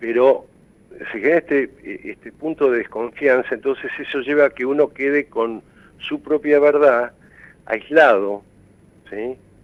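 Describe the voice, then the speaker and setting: Pausing long and often, a man speaks fairly slowly at a fairly high pitch, with big swings in loudness. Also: ordinary pitch variation. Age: 60s. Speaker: mental health expert. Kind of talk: TV interview. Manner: halting.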